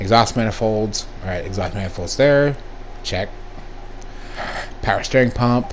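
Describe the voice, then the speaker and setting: Amid noticeable background noise and audible room echo, a man at medium pitch speaks with long, frequent pauses. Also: ordinary pitch variation. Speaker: gaming YouTuber. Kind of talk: gameplay commentary. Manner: fast; casual.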